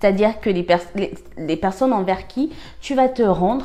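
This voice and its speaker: A woman's voice with lively intonation at a moderate pace, music in the background. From Cameroon. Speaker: life-lessons vlogger. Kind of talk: personal advice monologue. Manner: halting, many fillers and repetitions; animated, conversational.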